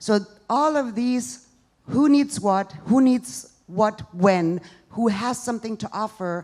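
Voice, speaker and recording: A woman with a German accent talks at a fairly slow pace, her intonation lively. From East Germany. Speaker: social entrepreneur, stand-up comedian. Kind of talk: live stand-up comedy set.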